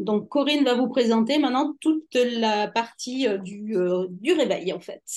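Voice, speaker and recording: A woman's fairly high voice at a fairly slow pace, lively in intonation, with hardly any pauses. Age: 50s. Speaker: nutrition coach. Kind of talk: webinar presentation. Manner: halting, many hesitations.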